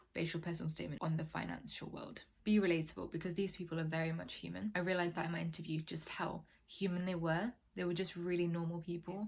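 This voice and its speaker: A woman with a British accent speaks at a very fast pace. Her voice is fairly low in pitch and somewhat breathy. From UK, Nigerian heritage. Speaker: university applicant advice YouTuber. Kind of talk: casual advice vlog. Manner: casual, chatty.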